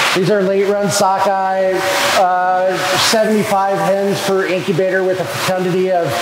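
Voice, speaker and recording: Over loud background noise, a man's voice carries audible room echo. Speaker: hatchery staff guide. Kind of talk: tour explanation. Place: factory.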